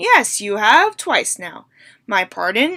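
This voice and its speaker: A woman uses a put-on character voice at a fairly high pitch and a fairly slow pace on a very clean recording with a silent background. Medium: read story.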